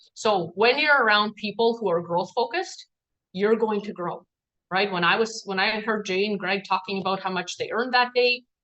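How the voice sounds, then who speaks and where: A woman talks with a non-native accent in a fairly high pitch. Her pace is moderate, and her pitch varies in an ordinary way. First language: not English. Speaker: team trainer. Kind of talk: training talk. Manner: casual, filler-heavy.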